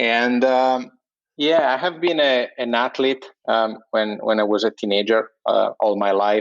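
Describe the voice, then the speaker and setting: At a fairly slow pace, a man with an Italian accent talks at a medium pitch, using ordinary pitch variation and keeping his loudness very even. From Italy. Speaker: entrepreneur, sleep company co-founder. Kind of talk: casual interview. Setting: remote internet call. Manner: hesitant, many fillers.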